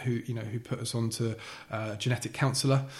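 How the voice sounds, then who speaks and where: This man's voice has a somewhat breathy quality. He talks at a fairly quick clip. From Essex, England (Billericay). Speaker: podcast guest with a heart condition. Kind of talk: casual interview. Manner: halting, many repetitions and fillers.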